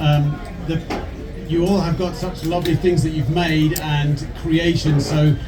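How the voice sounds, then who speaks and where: With noticeable background noise and audible room echo around it, the voice keeps a fairly even intonation. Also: man. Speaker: replica company co-founder. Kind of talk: talk to a live audience.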